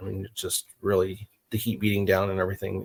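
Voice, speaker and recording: A man speaks with an American accent at a fairly quick pace, his pitch fairly low. The voice is somewhat breathy, and the sound is dry and close with no echo. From New Mexico, US. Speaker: encounter witness. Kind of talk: interview.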